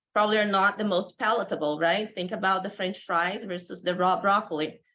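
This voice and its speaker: A woman speaks in a Brazilian accent at a medium pitch. Her intonation is fairly even. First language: Portuguese. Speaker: animal nutrition professor. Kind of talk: conference lecture.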